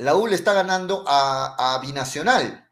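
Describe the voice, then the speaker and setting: Speaking at a fairly slow pace, the man has a high voice for a man. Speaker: sports radio host. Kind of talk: radio football talk show. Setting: radio studio, live broadcast.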